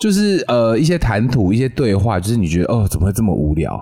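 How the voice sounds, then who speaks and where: Fairly quick and full of very wide pitch swings, a man's speech carries a dark, mellow tone. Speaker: podcast co-host. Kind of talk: casual chat.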